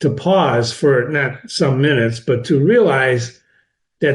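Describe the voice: A quiet background behind plain reading aloud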